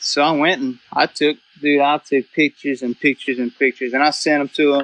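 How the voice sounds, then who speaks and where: A man with a South Louisiana accent speaks at a fairly high pitch. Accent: Cajun South Louisiana English. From South Louisiana (Cajun). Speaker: duck hunter and photographer. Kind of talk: casual podcast chat. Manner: animated, casual with many fillers.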